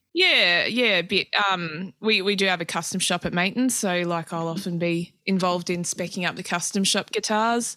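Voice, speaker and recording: Speaking with an Australian accent, a woman has a bright, sharp tone and hardly any pauses. The recording is very clean, with a silent background. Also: medium pitch for a woman, fairly even intonation, moderate pace. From Australia, mostly Adelaide. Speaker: guitarist and guitar tech. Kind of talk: casual interview chat.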